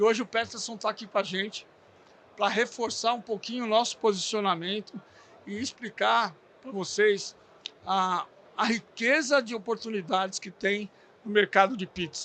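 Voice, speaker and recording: A man's raised, projected voice, high in pitch and bright, sharp in tone, with fairly even intonation, big swings in loudness, a moderate pace and long, frequent pauses. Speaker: podcast host for a bakery supply brand. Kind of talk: podcast interview. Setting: recorded at a trade fair. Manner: halting, stumbling over words.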